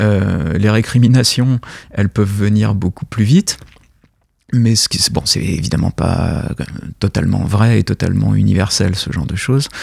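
A man with a fairly low pitch and ordinary pitch variation speaks at a moderate pace with long, frequent pauses, in a dry, close sound with no echo. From France, Paris. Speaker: literary translator and university lecturer. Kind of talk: radio interview.

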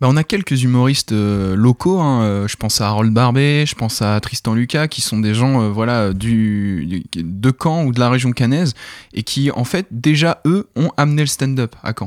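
In a very clean recording with a silent background and a dry, close sound with no echo, a man of medium pitch speaks fairly slowly with lively intonation. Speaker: comedy show organizer. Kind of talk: radio interview. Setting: studio. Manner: energetic; hesitant, many fillers.

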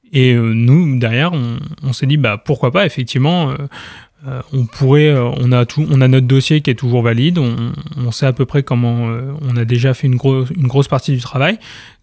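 A man with a plain, everyday voice speaks at a medium pitch and moderate pace with fairly even intonation. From Normandy, France. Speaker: quidditch club president. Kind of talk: radio interview.

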